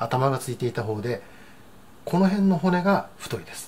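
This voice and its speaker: Through light background noise, a man speaks at a moderate pace with very wide pitch swings. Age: 60s. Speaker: cooking channel host. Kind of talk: cooking tutorial. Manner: frequent filler words, hesitant. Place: kitchen.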